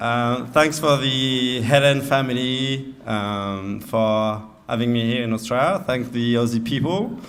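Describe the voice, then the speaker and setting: A man speaks with a French accent at a medium pitch. His intonation is fairly even, and the room echo is audible. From France. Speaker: groom. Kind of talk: wedding speech. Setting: wedding reception with audience. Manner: halting, many fillers.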